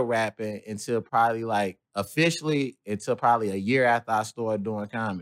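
In a dry, close sound with no echo, a man speaks with an American accent at a medium pitch. He has an ordinary speaking voice and a fairly quick pace. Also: very clean recording, silent background. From US Midwest, St. Louis. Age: 20s. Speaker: comedian and battle rapper. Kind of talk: casual interview.

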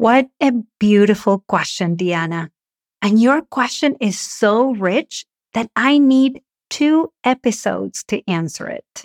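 A woman's fairly high voice in a Spanish accent, very slow, with lively intonation and a dry, close sound with no echo. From Argentina. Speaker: communication coach and podcast host. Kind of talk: solo podcast monologue, advice.

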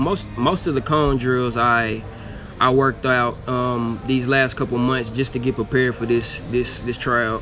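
Music in the background beneath a man's fairly slow, medium-pitched speech. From Arkansas, Little Rock. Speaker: football tryout player. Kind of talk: interview.

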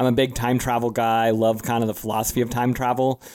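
A man's medium-pitched voice, recorded dry and close with no echo. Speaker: podcast host. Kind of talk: casual chat. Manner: animated.

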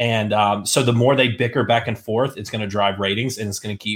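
A man's plain, everyday voice, fairly low in pitch, with fairly even intonation. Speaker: podcast host. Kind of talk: casual chat.

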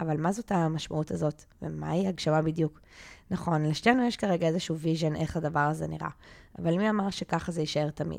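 Very clean recording, silent background, with a woman speaking in an unremarkable speaking voice. Her pitch sits fairly low and her pace is fairly quick. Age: 30s. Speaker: life coach and podcast co-host. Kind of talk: casual chat; scripted introduction.

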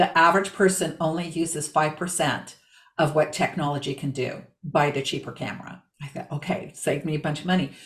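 Somewhat breathy speech delivered at a fairly quick pace. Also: woman, very deep, low pitch for a woman. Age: 60s. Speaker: body language strategist, former real estate agent. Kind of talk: interview.

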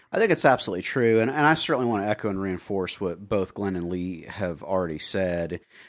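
A man speaks very fast with a fairly low pitch and lively intonation, barely pausing. The recording is very clean, with a silent background. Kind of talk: casual chat.

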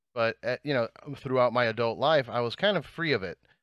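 A man's medium-pitched voice at a moderate pace, dry and close with no echo, against a quiet background. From New Jersey and Miami. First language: Spanish. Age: 30s. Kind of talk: casual chat.

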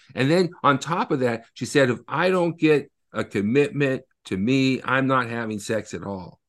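Speaking at a moderate pace with hardly any pauses, a man uses a normal speaking voice at medium pitch with lively intonation against a quiet background. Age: 50s. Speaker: author and attorney. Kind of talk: interview.

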